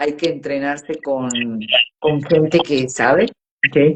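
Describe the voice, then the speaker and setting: Typical pitch movement in a woman's voice that sits very deep and low. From Argentina, Córdoba. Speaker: voice coach. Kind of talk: interview on a live stream. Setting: live video stream.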